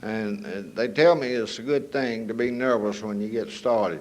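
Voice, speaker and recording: Lively intonation marks this North Carolina accent, heard with audible room echo. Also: man. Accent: Southern US, North Carolina. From US South, northern North Carolina. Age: 70s. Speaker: recovery speaker. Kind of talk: testimony. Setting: stage with audience.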